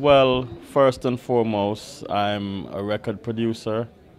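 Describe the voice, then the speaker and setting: Speaking very slowly with a Jamaican accent, a man uses a fairly low pitch and fairly even intonation. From Jamaica, Kingston. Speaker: record producer. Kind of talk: interview.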